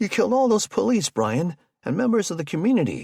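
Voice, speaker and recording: A man does a put-on character voice, high in pitch and very fast. His pitch swings very widely, and the sound is dry and close with no echo. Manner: downtrodden and dejected.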